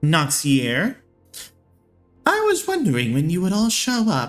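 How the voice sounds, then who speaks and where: In a put-on character voice with a sinister tone, the speaker cackles at a middle pitch and a fairly slow pace, with faint music in the background. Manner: cackling, sinister.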